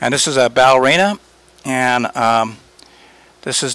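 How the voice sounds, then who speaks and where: A man with an American accent, an ordinary speaking voice, medium pitch, fairly even intonation, and a fairly slow pace. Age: 60s. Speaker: artist. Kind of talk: interview. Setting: art gallery. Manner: relaxed, with frequent fillers.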